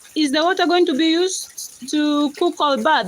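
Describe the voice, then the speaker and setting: A woman speaks in a high pitch with a Kenyan accent. Noticeable background noise runs under her voice. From Kenya, Rift Valley. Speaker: livestreamer. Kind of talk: casual chat.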